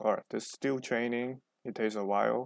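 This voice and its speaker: A man talks at a moderate pace in a Chinese accent. His intonation stays fairly even, and the sound is dry and close with no echo. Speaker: programming tutor. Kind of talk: tutorial. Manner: halting, many fillers.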